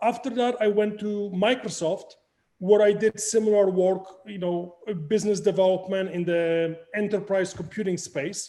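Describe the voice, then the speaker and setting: A high-pitched male voice with a Polish accent, moderate in pace, with fairly even intonation. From Poland. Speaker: crypto project founder. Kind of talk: interview.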